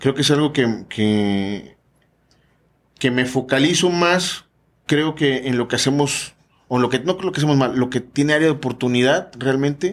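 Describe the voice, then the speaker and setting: With very even loudness and ordinary pitch variation, a man with an ordinary speaking voice talks in a medium pitch. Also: moderate pace, very clean recording, silent background. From Veracruz, Mexico. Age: 40s. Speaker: business consultant and event organizer. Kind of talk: casual interview. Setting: studio.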